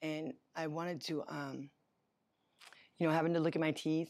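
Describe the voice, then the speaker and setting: Moderate speed throughout, captured very cleanly against a silent background. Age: 40s. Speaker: dental patient, former drug user. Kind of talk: testimony. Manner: halting.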